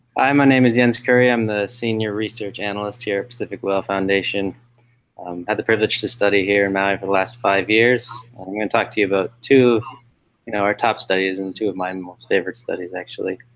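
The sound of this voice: A man speaks fast with a fairly low pitch and a fairly bright tone. His intonation stays fairly even.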